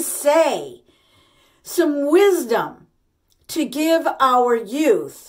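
A high-pitched woman's voice, animated in tone, over a quiet background. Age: 60s. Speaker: lifestyle vlogger. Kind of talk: monologue to camera. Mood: passionate, indignant. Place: bathroom. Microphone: phone near.

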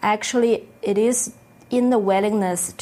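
Very slowly and with fairly even intonation, a woman talks. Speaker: spiritual teacher co-leading a retreat. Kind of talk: spiritual teaching session.

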